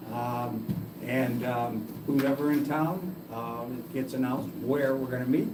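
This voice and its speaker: A man with an American accent, amid audible room echo and noticeable background noise. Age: 70s. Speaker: user group organizer. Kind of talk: casual chat. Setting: public library meeting room. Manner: halting.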